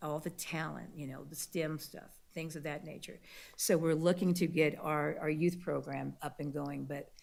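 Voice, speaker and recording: A woman talks at a moderate pace with a very deep, low pitch and vocal fry. Her intonation is monotone and flat. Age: 60s. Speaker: civil rights organization branch president. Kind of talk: public meeting presentation. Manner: halting, many fillers.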